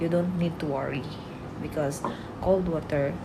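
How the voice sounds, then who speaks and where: A woman with a Bisaya accent speaks at a moderate pace, her pitch very deep and low, with ordinary pitch variation. Noticeable background noise and audible room echo fill the recording. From Philippines, Visayas. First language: Bisaya (speaking Tagalog). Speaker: vlogger and product seller. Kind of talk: product demo and sales pitch. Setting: at employer's home, boss present. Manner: animated, laughing often.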